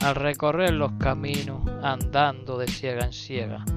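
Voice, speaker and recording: There is music in the background. The man's delivery is very slow. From Extremadura, Spain. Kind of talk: poetry reading. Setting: outdoors.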